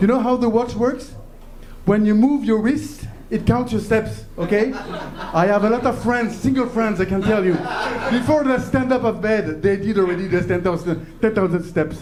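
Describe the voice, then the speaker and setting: Lively intonation and a high pitch mark this man's moderate-paced speech, his loudness very even. Noticeable background noise and audible room echo surround him. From France. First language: French. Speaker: comedian. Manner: halting.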